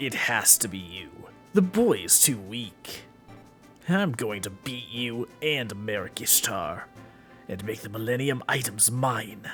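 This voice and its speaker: A man puts on a character voice at a medium pitch and a fairly slow pace, with clear music playing behind him. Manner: menacing, commanding.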